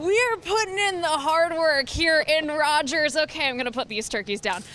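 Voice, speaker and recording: A woman's raised, projected voice with an American accent, high pitch, very wide pitch swings and a moderate pace, over noticeable background noise. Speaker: TV news anchor and reporter. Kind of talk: studio news anchor delivery.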